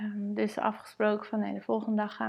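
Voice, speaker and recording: This woman has a medium pitch. Her intonation is monotone and flat. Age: 30s. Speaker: mother and blogger. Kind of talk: personal testimony.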